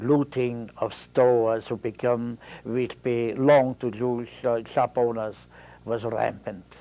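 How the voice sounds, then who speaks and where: Speaking very slowly with an Austrian accent, a man keeps to a medium pitch. His tone is dark and mellow. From Austria, Vienna. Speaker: Holocaust survivor. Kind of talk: testimony. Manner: halting.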